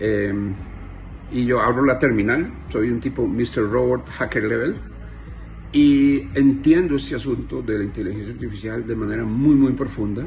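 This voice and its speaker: Audible room echo around a medium-pitched male voice. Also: ordinary pitch variation, moderate pace. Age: 50s. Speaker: software engineer. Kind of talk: monologue to camera. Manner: animated.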